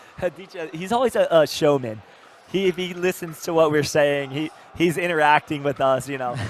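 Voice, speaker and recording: Over noticeable background noise, a man with a fairly high pitch talks at a fairly quick pace in an animated tone, with ordinary pitch variation. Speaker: pickleball commentator. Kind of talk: live sports commentary. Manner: animated, repetitive fillers.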